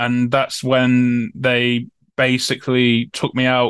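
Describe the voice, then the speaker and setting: Over a quiet background, a man with an East Midlands accent speaks at a medium pitch in a dry, close sound with no echo. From Newark-on-Trent, Nottinghamshire, England. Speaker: former soldier and prisoner of war. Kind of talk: interview testimony. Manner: hesitant, many fillers and repetitions.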